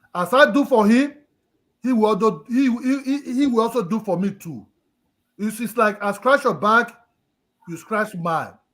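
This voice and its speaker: A loud man with a high pitch and animated tone, at a moderate pace with long, frequent pauses. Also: ordinary pitch variation. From Nigeria. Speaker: live stream panelist. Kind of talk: casual discussion. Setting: live stream. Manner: emotional, animated.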